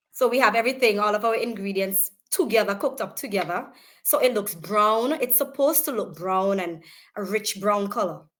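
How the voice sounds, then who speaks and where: Speaking fairly quickly, a woman with a Vincentian accent uses a fairly high pitch and ordinary pitch variation. The recording is very clean, the background silent. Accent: Vincentian Caribbean English. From St Vincent. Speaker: small business owner. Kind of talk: casual interview.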